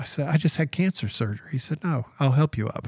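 Someone with a Southern US accent talks at a very fast pace on a very clean recording with a silent background. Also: man. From US South, Georgia (Atlanta area). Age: 50s. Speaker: editorial cartoonist. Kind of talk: casual interview. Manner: animated.

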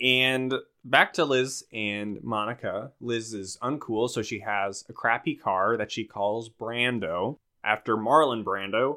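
The speaker has an ordinary speaking voice with an American accent. Intonation stays fairly even at a fairly slow pace. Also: man, medium pitch for a man. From Minnesota. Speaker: podcast host. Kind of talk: casual chat; show outro housekeeping.

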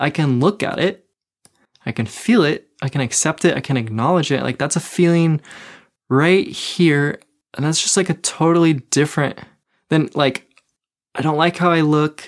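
Over a very clean recording with a silent background, a woman speaks with a very deep, low pitch and a warm tone, with ordinary pitch variation. Her pace is moderate, broken by long, frequent pauses. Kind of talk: solo video talk, advice to audience. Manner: warm, reflective, laughs often.

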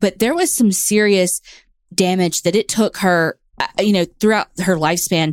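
In a very clean recording with a silent background, a woman speaks at a moderate pace, the sound dry and close with no echo. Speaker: true crime podcast co-host. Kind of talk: casual storytelling chat.

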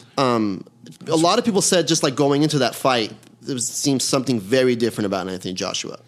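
A man at medium pitch, very fast pace and lively intonation, over noticeable background noise. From Iran, raised in Los Angeles (Canoga Park). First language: Persian. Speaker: actor and comedian, amateur boxer. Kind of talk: casual chat.

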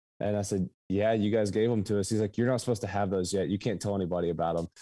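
A man with an American accent speaks in a dark, mellow tone with fairly even intonation. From southeastern Kentucky, Appalachia. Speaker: app founder and CEO. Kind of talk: casual interview.

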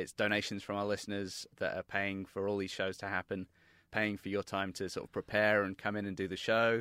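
With a British accent, a man with fairly low pitch and a bright, sharp tone talks in a monotone, flat way at a fairly quick pace, in a dry, close sound with no echo and a very clean recording against a silent background. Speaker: podcast producer. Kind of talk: pledge drive pitch.

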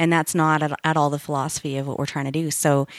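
A woman with a Canadian Prairies accent speaks very fast in a very deep, low, flat monotone, recorded very cleanly against a silent background. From Winnipeg, Canada. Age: 40s. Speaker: IT company manager. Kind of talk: interview conversation. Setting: studio.

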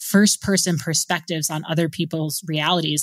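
In an ordinary speaking voice, a woman talks at a moderate pace with ordinary pitch variation, on a very clean recording with a silent background and a dry, close sound with no echo. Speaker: world traveler. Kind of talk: interview.

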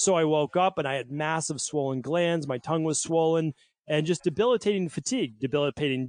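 Against a quiet background, a man uses a normal speaking voice at a fairly quick pace with ordinary pitch variation, in a dry, close sound with no echo. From Massachusetts (Medford, Boston area). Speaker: naturopathic doctor. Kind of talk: interview.

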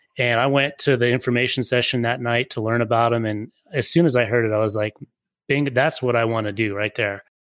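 On a very clean recording with a silent background, a man with an American accent uses an ordinary speaking voice at medium pitch, fairly quick and with fairly even intonation. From Colorado. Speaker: podcast co-host, wireless industry expert. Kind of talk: casual chat.

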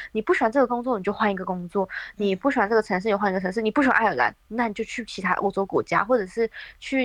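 The woman talks very fast. Her voice sounds dry and close, without any echo. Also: quiet background. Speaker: working holiday traveler. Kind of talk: interview.

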